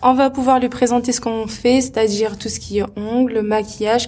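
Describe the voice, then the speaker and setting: Noticeable background noise sits under this voice. The pace is moderate and the intonation fairly even. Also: woman. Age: 20s. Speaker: henna artist and entrepreneur. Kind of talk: interview.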